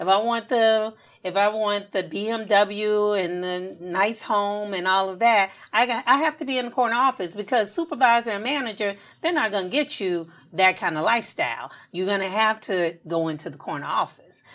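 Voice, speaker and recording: A woman with an American accent has an unremarkable speaking voice at medium pitch, moderate pace, and lively intonation. The recording is very clean against a silent background. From US South, Augusta, Georgia. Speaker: podcast co-host. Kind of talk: casual chat.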